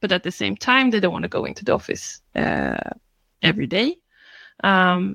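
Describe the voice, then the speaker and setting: Dry and close with no echo, the recording captures a woman with a Swedish accent. She speaks at a fairly slow pace. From Sweden, Stockholm area. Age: 30s. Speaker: scrum master. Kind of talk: panel discussion.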